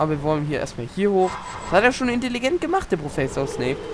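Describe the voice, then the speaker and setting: Against noticeable background noise, a man with a high pitch races at a very fast pace through very wide pitch swings. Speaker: gaming YouTuber. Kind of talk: let's play commentary. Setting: home recording. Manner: animated.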